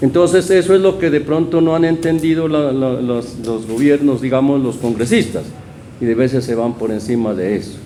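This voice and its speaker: A man's medium-pitched voice with lively intonation at a moderate pace, plus noticeable background noise and audible room echo. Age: 60s. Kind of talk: community interview. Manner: halting.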